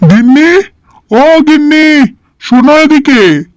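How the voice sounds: This is a cartoonish character voice with a high pitch.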